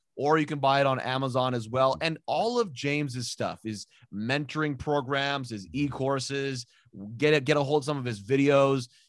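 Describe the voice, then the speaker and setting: In an ordinary speaking voice, a man talks at a fairly high pitch and a moderate pace with ordinary pitch variation. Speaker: podcast host. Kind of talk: interview.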